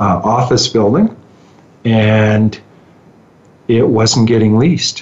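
With a Canadian accent, a man speaks at a fairly low pitch and a very slow pace. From Ontario, Canada (Muskoka). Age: 50s. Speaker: real estate executive. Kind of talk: interview.

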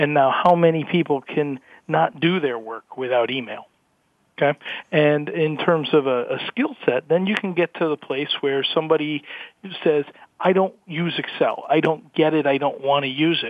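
With an unremarkable speaking voice, a man talks at a moderate pace, his pitch fairly high and its variation ordinary. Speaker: HR systems manager, panelist. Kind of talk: panel discussion.

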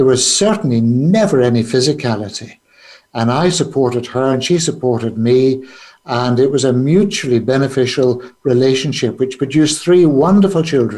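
A man at a medium pitch, moderate pace and lively intonation. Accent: Northern Irish. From Northern Ireland, Belfast. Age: 70s. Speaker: businessman and trauma charity founder. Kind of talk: interview. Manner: halting, frequent fillers.

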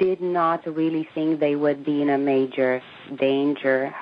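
A woman talks with a Romanian accent. Noticeable background noise runs behind her. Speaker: emigrant from communist Romania. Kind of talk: interview.

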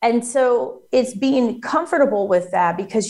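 A somewhat breathy woman's voice. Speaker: federal contracting coach. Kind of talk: interview explaining business advice.

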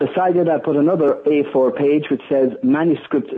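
The speaker is a man with an Irish accent. His pitch is fairly high. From Ireland. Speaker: sales trainer and author. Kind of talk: interview. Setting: phone call.

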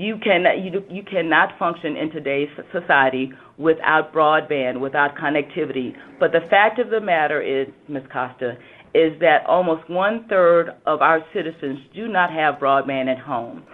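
A woman speaks with a Southern US accent. Her pitch is very deep and low, with ordinary variation. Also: moderate pace. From US South. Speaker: government regulator.

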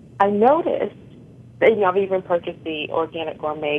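In an American accent, a woman with a fairly low pitch speaks at a moderate pace with ordinary pitch variation in an ordinary speaking voice. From Connecticut. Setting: phone call.

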